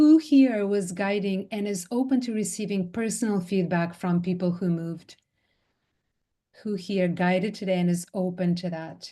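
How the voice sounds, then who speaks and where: A woman at a moderate pace, medium in pitch, somewhat breathy, with a dark, mellow tone and ordinary pitch variation. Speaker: somatic movement teacher and trainer. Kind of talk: online training session feedback. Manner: animated.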